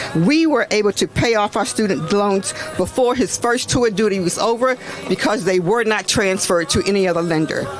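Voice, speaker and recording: A woman's fairly quick, lively voice at a medium pitch, with very even loudness over noticeable background noise. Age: 60s. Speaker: retired nurse and activist speaker. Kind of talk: prepared speech at a rally. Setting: outdoors at a protest.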